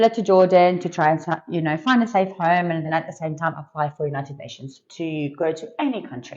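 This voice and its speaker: A woman with a fairly low pitch talks very fast, her loudness swinging widely. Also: ordinary pitch variation. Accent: Australian. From Australia. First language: Arabic. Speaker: businesswoman, certified trainer. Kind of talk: interview.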